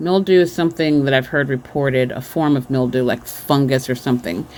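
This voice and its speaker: With ordinary pitch variation, a woman speaks at a very deep, low pitch. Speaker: vlogger sharing dreams and visions. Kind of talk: casual monologue. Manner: halting, many filler ums.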